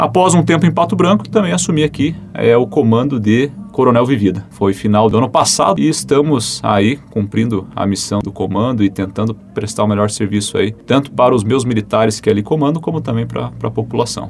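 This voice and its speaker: With lively intonation and a medium pitch, a man talks at a fairly quick pace with hardly any pauses over noticeable background noise. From Brazil, Curitiba (Paraná). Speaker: fire department officer. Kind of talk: radio interview. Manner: formal.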